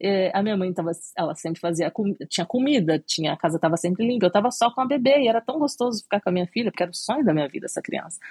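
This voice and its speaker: Somewhat breathy, a woman talks at a very fast pace. Her intonation is lively. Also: medium pitch for a woman, dry, close sound with no echo. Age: 30s. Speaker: cake designer. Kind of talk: interview.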